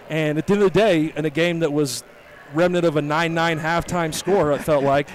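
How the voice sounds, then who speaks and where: A man with a fairly high voice speaks at a moderate pace with fairly even intonation over noticeable background noise. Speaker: high school basketball coach. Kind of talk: post-game interview. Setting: hot echoing high school gym. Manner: loud.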